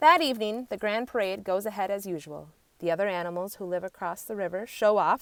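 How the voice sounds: Here is a natural reading voice. Pitch varies in an ordinary way.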